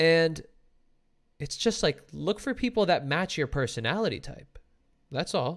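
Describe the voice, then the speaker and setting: A man with a high voice speaks at a fairly slow pace, leaving long, frequent pauses. His tone is animated and his intonation lively. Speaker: relationship podcast host and live streamer. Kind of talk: casual chat. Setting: live stream video call.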